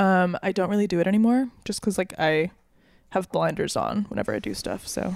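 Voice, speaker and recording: A woman speaks with an American accent in a normal speaking voice. Her pitch is medium, her intonation fairly even, and her pace fairly quick. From Minnesota, Saint Paul. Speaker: musician and producer. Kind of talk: casual interview chat. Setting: studio.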